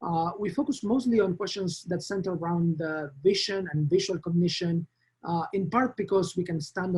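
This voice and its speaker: A man with a strong Argentine accent speaks at a high pitch and moderate pace, his pitch varying in an ordinary way. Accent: Argentine Spanish accent, thick. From Argentina. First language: Spanish. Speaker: professor. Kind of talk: lecture. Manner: halting, many fillers.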